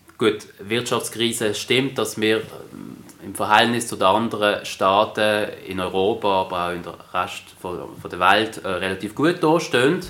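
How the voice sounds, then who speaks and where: A man's fairly low voice at a fairly slow pace, lively in intonation with big swings in loudness, against noticeable background noise. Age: young. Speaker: politician. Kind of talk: interview.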